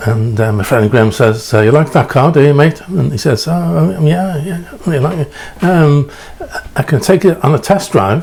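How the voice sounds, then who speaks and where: A man's fairly high voice with lively intonation at a moderate pace, amid noticeable background noise. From England. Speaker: preacher. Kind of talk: storytelling sermon. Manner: halting, many fillers.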